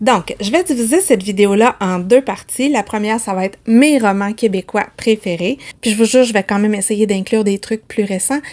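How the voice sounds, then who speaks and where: A woman speaks in a Quebec accent with hardly any pauses. Her fairly high pitch has ordinary variation. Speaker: book vlogger. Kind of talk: casual vlog talk. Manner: fast, chatty.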